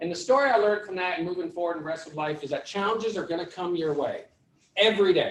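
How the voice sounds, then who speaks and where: With a Vermont accent, a man talks at a very fast pace and a high pitch in an animated tone. His pitch varies in an ordinary way. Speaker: mortgage lender. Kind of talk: panel pitch to audience.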